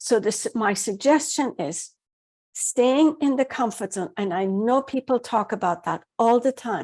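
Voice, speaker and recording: A woman with a normal speaking voice, fairly high in pitch, with lively intonation at a moderate pace, in a very clean recording over a silent background. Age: 60s. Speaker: happiness coach. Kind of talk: interview. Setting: radio show.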